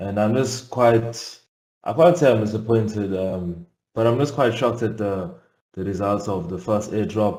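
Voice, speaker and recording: This man has a fairly low pitch and a dark, mellow tone. He talks at a moderate pace with ordinary pitch variation. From South Africa. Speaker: investor asking a question. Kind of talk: live Q&A question. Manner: halting.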